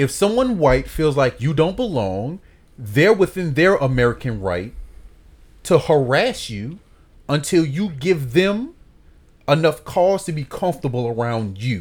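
A man speaks in a somewhat breathy, animated tone, with fairly high pitch. His pitch swings very widely. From New Orleans. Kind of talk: casual chat.

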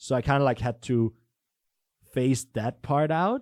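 A man with a Danish accent speaks at a medium pitch. The recording is very clean, with a silent background, and the sound is dry and close with no echo. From Denmark. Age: 20s. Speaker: entrepreneur. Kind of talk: casual chat. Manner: halting.

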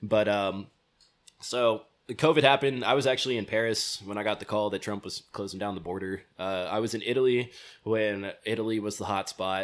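A man with an American accent and an unremarkable speaking voice, fairly low in pitch, at a moderate pace on a very clean recording with a silent background. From US West Coast, California. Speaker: traveler, backpacker. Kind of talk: casual chat, podcast interview. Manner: casual, jokey, laughs often.

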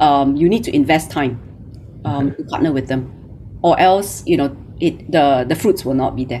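The woman talks at a medium tempo while background noise is clearly audible. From Malaysia. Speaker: recruiter and founder. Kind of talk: interview.

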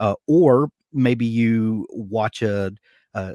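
A man speaks with a Southern US accent and ordinary pitch variation. The recording is very clean, with a silent background and a dry, close sound that has no echo. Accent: Southern US drawl. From US South. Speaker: podcast host. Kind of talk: casual interview chat.

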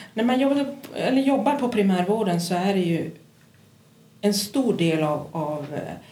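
A woman's very slow, somewhat breathy voice, dark and mellow in tone, with lively intonation and audible room echo. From Kiruna, Norrbotten, northern Sweden. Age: 50s. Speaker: psychiatric nurse. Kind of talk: interview.

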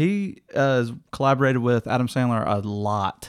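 With an American accent and ordinary pitch variation, the speech moves at a fairly slow pace in a very clean recording with a silent background. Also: man. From US Midwest. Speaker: podcast co-host. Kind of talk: casual chat. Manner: loud.

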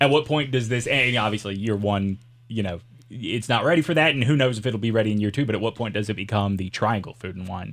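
A man speaks very fast in a Southern US accent. His pitch is fairly low. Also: ordinary pitch variation. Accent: Southern US, mild. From US South. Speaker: podcast host and former radio host. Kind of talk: casual interview chat. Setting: studio.

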